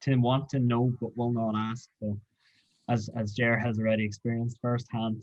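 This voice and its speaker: A man with a Northern Irish accent speaks at a moderate pace. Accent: Derry. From Northern Ireland, Derry. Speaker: graduate research student. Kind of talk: interview chat.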